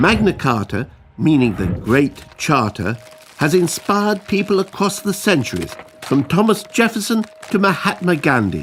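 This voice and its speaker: A man with a high voice speaks at a fairly slow pace, his pitch swinging very widely, while music plays in the background. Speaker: narrator, comedian. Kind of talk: educational animation narration.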